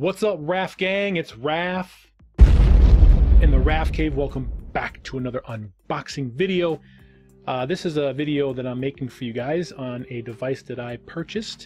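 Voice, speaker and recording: Fairly slow speech from a man with ordinary pitch variation, faint music in the background. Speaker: channel host. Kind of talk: casual vlog chat. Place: home room. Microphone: studio mic.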